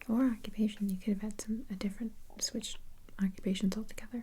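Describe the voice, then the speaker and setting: Soft-spoken and calm, a woman speaks at a moderate pace with a dark, mellow tone. Her voice is somewhat breathy, with monotone, flat intonation. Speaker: ASMR roleplay host playing an interviewer / receptionist. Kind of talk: ASMR roleplay interview. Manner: soft-spoken, calm, reassuring.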